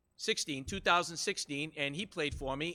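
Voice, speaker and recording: A man speaks loudly at a moderate pace in a bright, sharp tone. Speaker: high school golf coach. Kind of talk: public speech at meeting. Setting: school committee meeting. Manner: animated.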